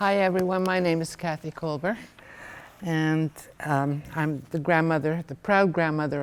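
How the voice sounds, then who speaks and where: A woman speaks at a very deep, low pitch. Her pitch varies in an ordinary way. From Hungary, raised in Montreal, Canada. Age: 70s. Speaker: Holocaust survivor. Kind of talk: testimony.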